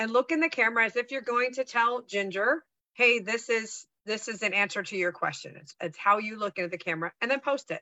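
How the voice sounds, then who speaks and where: Fairly high and fairly quick, a woman speaks in an animated tone with lively intonation. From US West Coast, San Francisco Bay Area. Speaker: sales trainer and speaker. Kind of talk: casual chat.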